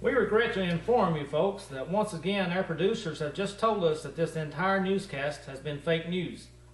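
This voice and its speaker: A man with an American accent and a high pitch, at a moderate pace with hardly any pauses, ordinary pitch variation, and noticeable background noise. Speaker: comedy news anchor. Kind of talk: mock local TV news read.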